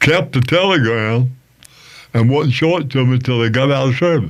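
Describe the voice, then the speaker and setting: A man with an Appalachian accent, medium pitch, ordinary pitch variation and a moderate pace. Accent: Appalachian Southern US. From US South, North Carolina. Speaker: musician and veteran. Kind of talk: interview.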